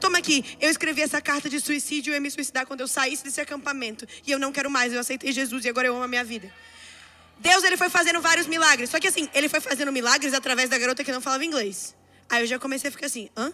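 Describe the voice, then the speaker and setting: A woman speaks very fast in a raised, projected voice at a high pitch, with ordinary pitch variation. Noticeable background noise runs behind her. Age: 20s. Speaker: preacher. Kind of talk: sermon. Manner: animated.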